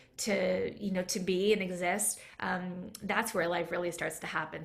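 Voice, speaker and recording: Audible room echo surrounds a woman with a Canadian accent. She keeps a moderate pace and fairly even intonation. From Canada, near Toronto. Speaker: food and mindset coach. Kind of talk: casual interview chat. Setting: live video stream.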